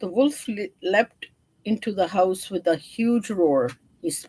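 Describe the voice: Text is read aloud plainly, the pitch shifting in an ordinary way.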